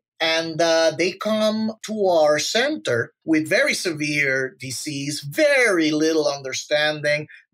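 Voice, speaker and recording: A man with a Spanish accent speaks at a very slow pace with hardly any pauses. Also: fairly high pitch for a man, ordinary pitch variation. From Puerto Rico. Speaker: physician. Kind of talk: podcast monologue.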